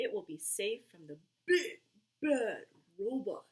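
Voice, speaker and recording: The speaker uses a put-on character voice. It sits high in pitch and goes fairly slowly. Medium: read story.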